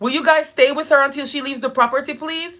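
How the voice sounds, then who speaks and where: A woman's raised, projected voice, bright and sharp in tone, animated and at a very fast pace. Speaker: live streamer and nonprofit founder. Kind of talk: casual chat. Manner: loud.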